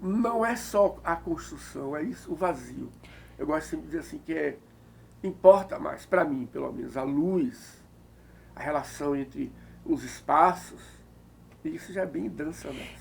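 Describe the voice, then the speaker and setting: Speaking at a fairly slow pace, a man leaves long, frequent pauses. His loudness swings widely. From Bahia, Brazil (Recôncavo). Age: 60s. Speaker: architect and art director. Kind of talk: interview.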